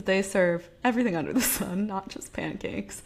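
At a moderate pace, a woman speaks at medium pitch in a plain, everyday voice. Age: 20s. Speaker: podcast co-host. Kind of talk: casual chat.

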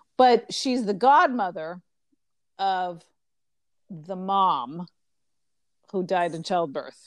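In an American accent, a woman of medium pitch speaks at a very slow pace with lively intonation and long, frequent pauses. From United States. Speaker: podcast co-host. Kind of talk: casual chat. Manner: halting, many fillers.

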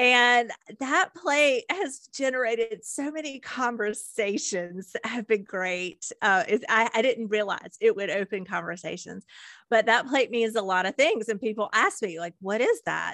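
Heard dry and close with no echo on a very clean recording with a silent background, a woman speaks fairly slowly at a fairly high pitch, her tone bright and sharp and her intonation lively. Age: 50s. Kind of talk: podcast interview.

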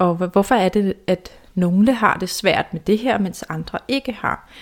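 A woman talks at a fairly slow pace. Her medium pitch shows ordinary variation. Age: 30s. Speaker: self-esteem mentor and podcast host. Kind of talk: personal storytelling monologue. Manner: halting, many fillers and repetitions.

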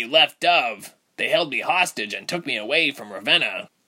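Pitching his voice fairly high, a man performs a put-on character voice. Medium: audio drama.

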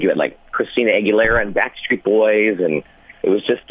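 A man with a Canadian accent against noticeable background noise. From Ontario, Canada (London). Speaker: radio morning host. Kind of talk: casual interview chat.

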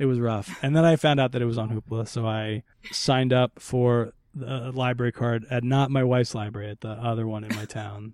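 In an ordinary speaking voice, a man talks at a fairly quick pace, medium in pitch, with fairly even intonation. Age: 30s. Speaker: stand-up comedian. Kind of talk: casual chat.

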